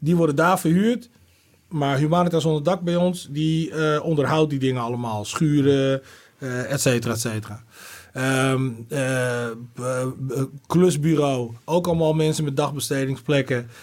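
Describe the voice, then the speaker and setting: The speaker has a normal speaking voice with ordinary pitch variation. The pace is moderate. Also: man, fairly high pitch for a man. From Netherlands. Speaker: rapper and former city councillor. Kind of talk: casual chat.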